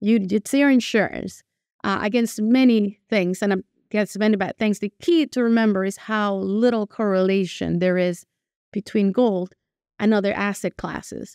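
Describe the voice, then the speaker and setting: Someone with a Spanish accent speaks at a moderate pace with ordinary pitch variation, on a very clean recording with a silent background and a dry, close sound with no echo. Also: woman. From Venezuela. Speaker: portfolio manager. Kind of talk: interview. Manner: conversational with hesitations.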